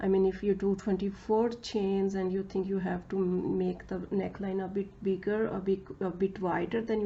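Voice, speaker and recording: A woman speaks at a moderate pace in a medium pitch, somewhat breathy, her intonation flat and monotone. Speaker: crochet tutorial creator. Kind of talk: tutorial. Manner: halting, many fillers.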